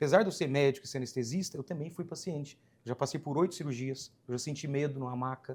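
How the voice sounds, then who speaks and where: In a very clean recording with a silent background, a man with a Minas Gerais accent speaks somewhat breathily at a fairly quick pace with ordinary pitch variation. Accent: Minas Gerais (mineiro). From Minas Gerais, Brazil (rural). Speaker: anesthesiologist. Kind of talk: podcast interview. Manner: casual, conversational.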